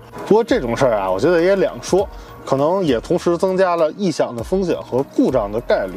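With faint background music, a man talks at a fairly quick speed. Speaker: car reviewer. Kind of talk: car review commentary. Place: car.

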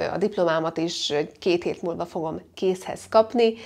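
Pitch moves in an ordinary way. The speaker is a woman. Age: 20s. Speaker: beauty and lifestyle vlogger; lifestyle vlogger. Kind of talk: casual vlog monologue. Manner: chatty, jumping between topics. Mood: cheerful, expressive. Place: home room. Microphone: lapel.

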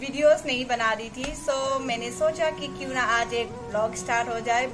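Over noticeable background noise, a woman speaks at a moderate pace in a high pitch with ordinary pitch variation. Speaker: vlogger. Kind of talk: casual talk to camera. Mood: cheerful, playful. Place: home room. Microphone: phone near.

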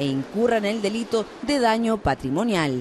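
A woman's fairly high, lively voice over noticeable background noise. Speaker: TV news reporter. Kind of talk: news report narration.

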